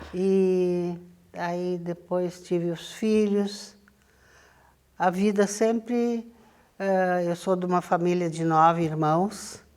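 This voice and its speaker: In a very clean recording with a silent background, a woman at a medium pitch speaks at a very slow pace with fairly even intonation and long, frequent pauses. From southern Brazil. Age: 80s+. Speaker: local community elder, former councillor. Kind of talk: oral history interview. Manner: halting.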